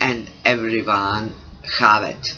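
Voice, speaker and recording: A man with a non-native accent speaks at a medium pitch and a fairly slow pace. Noticeable background noise runs under his voice. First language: not English. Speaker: creativity coach. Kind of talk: vlog monologue. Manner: halting.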